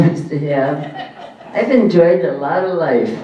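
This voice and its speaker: A man's fairly high voice with audible room echo and noticeable background noise. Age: 90s. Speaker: lifetime achievement award recipient, bowler. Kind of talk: acceptance speech.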